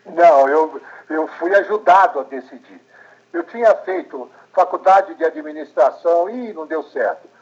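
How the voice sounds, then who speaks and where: A man with a high voice speaks at a fairly slow pace, his loudness swinging widely while his pitch varies in an ordinary way. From Brazil, São Paulo. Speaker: journalist and documentary maker. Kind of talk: interview.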